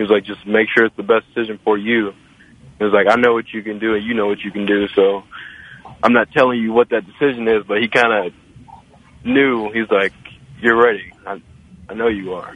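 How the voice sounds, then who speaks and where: Noticeable background noise sits under a man's fairly low, monotone, flat voice, which moves at a fairly quick pace yet has long, frequent pauses. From Louisville, Kentucky. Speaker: college basketball player. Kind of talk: radio interview. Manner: halting, many fillers.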